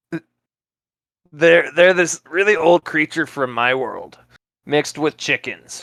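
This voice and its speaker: A put-on character voice, raspy, speaks at a fairly slow pace with long, frequent pauses. The sound is dry and close, without echo. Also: man, fairly high pitch for a man. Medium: actual play. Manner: blunt, eager.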